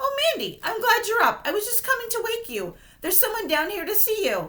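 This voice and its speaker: A woman puts on a squeaky character voice at an extremely high pitch, talking at a fairly quick pace with lively intonation. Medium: read story. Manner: matter-of-fact.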